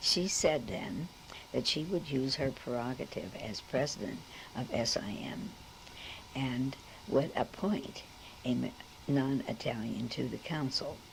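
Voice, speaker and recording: A woman with a Brooklyn accent talks in a very deep, low voice with lively intonation. She goes at a fairly slow pace, with long, frequent pauses. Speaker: member of a secular institute, storyteller. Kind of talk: personal storytelling, oral history.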